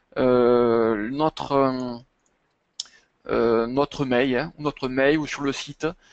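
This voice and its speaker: A man with a slight southern French accent speaks at a medium pitch and very slow pace, with fairly even intonation and long, frequent pauses. The sound is dry and close, with no echo. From southern France, Montpellier area. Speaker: chartered accountant. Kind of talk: webinar presentation and Q&A. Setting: online webinar. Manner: hesitant, many fillers.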